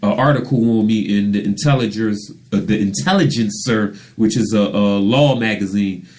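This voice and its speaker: A man's fairly low voice at a moderate pace, with ordinary pitch variation, very even loudness and audible room echo. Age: 40s. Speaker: radio show host and author. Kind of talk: casual interview chat.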